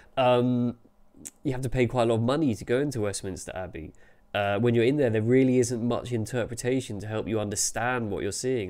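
Fairly quick and fairly even in intonation, a man with a dark, mellow tone talks in a London accent. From London, England. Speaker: architectural journalist. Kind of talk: solo video commentary. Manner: casual, with frequent fillers. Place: home room. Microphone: webcam.

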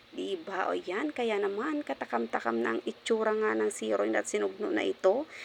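At a moderate pace, a woman talks with hardly any pauses. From Marinduque, Philippines. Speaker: cooking vlogger. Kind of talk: cooking tutorial. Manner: animated.

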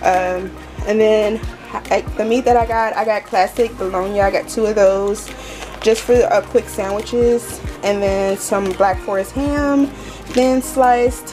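Clear music plays in the background while a woman speaks at a fairly slow pace with ordinary pitch variation. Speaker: home vlogger. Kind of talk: casual vlog chat. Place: kitchen. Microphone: phone near.

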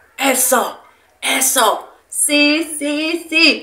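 An animated tone in a raised, projected voice. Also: woman. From Mexico, Irapuato (Guanajuato). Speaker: streamer. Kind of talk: casual chat. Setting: live stream. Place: kitchen.

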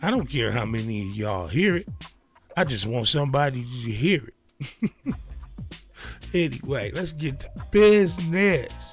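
A man's voice comes through with a dry sound and no echo, and faint music plays in the background. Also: fairly slow pace. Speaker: podcast host. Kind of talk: casual vlog chat. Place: home room. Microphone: studio mic.

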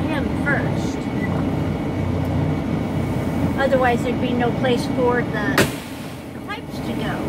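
Fairly slow speech against loud background noise. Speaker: truck driver vlogger. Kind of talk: casual vlog chat. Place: open country. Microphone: phone near.

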